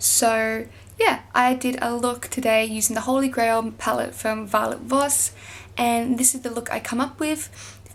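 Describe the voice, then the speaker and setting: A woman with an Australian accent speaks at a high pitch with monotone, flat intonation. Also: fairly slow pace. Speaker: beauty vlogger. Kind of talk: casual talk to camera.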